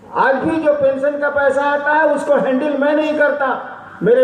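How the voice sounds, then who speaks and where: A man's extremely high voice over noticeable background noise. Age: 60s. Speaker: spiritual teacher. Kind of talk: spiritual discourse, Q&A.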